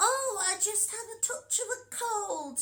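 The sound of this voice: A squeaky, put-on character voice moves along at a fairly slow pace. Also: female-sounding voice, extremely high pitch for a woman.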